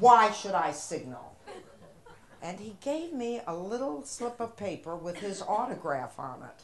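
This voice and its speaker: Noticeable background noise and audible room echo fill the recording. A woman speaks in a Midwestern accent at a fairly slow pace. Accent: American Midwest. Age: 70s. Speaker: comedian. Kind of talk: stand-up. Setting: stage with audience.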